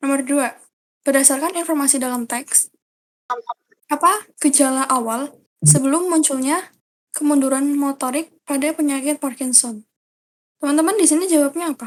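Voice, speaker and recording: A woman's high voice, broken by long, frequent pauses. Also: ordinary pitch variation, moderate pace. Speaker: study group tutor. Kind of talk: online tutoring session. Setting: voice chat on Discord. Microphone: quiet, low volume.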